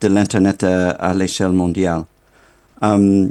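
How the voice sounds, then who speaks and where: The speaker is a man with a non-native accent. His voice has a dark, mellow tone. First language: not French (speaking French). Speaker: internet governance official. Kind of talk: keynote speech. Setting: remote video link to conference. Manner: halting, many fillers.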